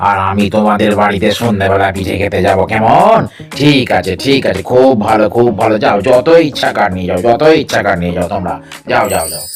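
A cartoonish character voice at a moderate pace, with clear background noise. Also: man, fairly low pitch for a man. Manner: repetitive, eager once pleased.

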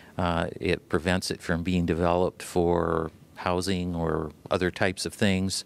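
In a dry recording with no echo, a man with an Ohio accent speaks fairly slowly in a very deep, low voice with flat, monotone intonation. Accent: Midwestern American (Ohio). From Ohio, Toledo. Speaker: land conservancy president, environmental lawyer. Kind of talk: TV interview; interview answer. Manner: hesitant, many fillers. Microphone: handheld.

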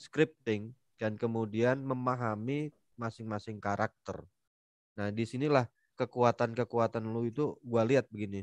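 At a fairly slow pace, a man speaks with fairly even intonation, the sound dry with no echo against a quiet background. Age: middle-aged. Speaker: webinar moderator, civil servant; webinar moderator. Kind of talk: casual webinar interview. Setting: video call. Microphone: headset.

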